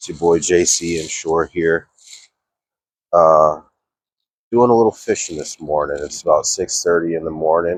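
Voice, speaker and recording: His pitch is very deep and low, and his tone relaxed, with fairly even intonation. The man takes long, frequent pauses. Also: moderate pace. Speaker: fishing vlogger and DIY boat builder. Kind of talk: casual vlog narration. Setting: outdoors by a marina at dawn. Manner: relaxed, with fillers.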